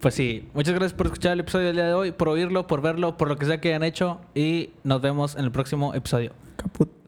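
With fairly even intonation and a fairly high pitch, a man talks at a fairly quick clip. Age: 20s. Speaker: podcast co-host. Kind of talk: casual chat.

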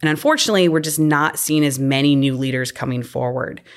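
Fairly quick speech from a woman with a very deep, low pitch, in an American accent. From US Midwest, Illinois. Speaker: marine scientist and professor. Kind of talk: interview.

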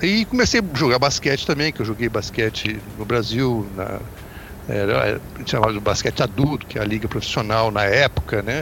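A man's medium-pitched voice moves at a medium speed with ordinary rises and falls, noticeable noise behind it. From Brazil, Volta Redonda (Rio de Janeiro state). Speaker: basketball commentator. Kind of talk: podcast sports discussion.

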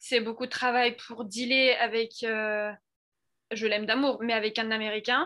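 Her tone is bright and sharp, and her pitch is fairly high for a woman. She talks at a fairly slow pace with monotone, flat intonation. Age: 20s. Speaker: student, former au pair. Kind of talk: interview. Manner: hesitant, many fillers.

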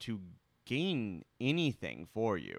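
Very wide pitch swings mark this very slow delivery, heard on a very clean recording with a silent background. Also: man. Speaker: podcast co-host.

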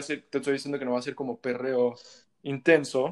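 Speaking at a fairly quick pace, a man uses a fairly high pitch. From Mexico. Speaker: musician. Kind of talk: casual chat.

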